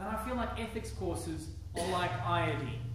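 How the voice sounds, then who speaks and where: A man talks over noticeable background noise. His voice bounces around a strongly echoing room. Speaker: preacher. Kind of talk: sermon. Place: church. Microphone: podium.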